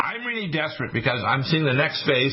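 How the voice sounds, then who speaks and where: Over noticeable background noise, a man talks fairly quickly at a fairly high pitch. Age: 60s. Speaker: radio host. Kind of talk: talk radio monologue. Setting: studio. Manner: animated.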